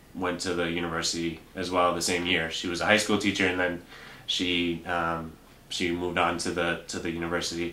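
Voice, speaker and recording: With audible room echo, a man speaks at a moderate pace in a very deep, low voice, his intonation monotone and flat and his tone bright and sharp. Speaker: bank teller and Spanish interpreter. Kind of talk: interview. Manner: hesitant, many fillers.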